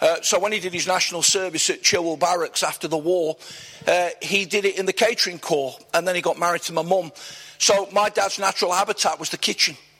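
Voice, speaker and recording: Over noticeable background noise, a man with a high voice talks at a fairly quick pace with fairly even intonation. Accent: East Midlands. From Nottingham, England. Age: 60s. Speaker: church leader. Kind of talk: interview before a live church audience. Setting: church event with audience.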